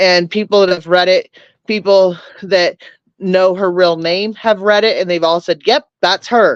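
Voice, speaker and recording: In a dry, close sound with no echo, a woman speaks at a medium pitch and a moderate pace. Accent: American. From California. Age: 40s. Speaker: livestreamer. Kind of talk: casual chat. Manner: animated.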